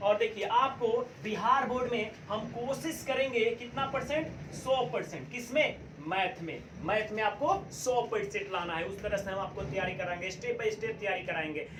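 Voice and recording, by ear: Audible room echo surrounds a man with a high pitch, ordinary pitch variation, few pauses and a moderate pace.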